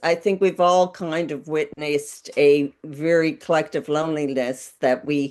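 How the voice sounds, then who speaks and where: A woman with a Newfoundland accent talks fairly slowly in a fairly low voice over a quiet background. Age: old. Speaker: filmmaker. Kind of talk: panel Q&A discussion.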